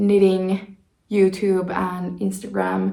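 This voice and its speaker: The woman speaks very slowly in a flat, monotone delivery. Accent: Finnish. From Finland. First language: Finnish. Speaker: knitting vlogger. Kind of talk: casual vlog talk.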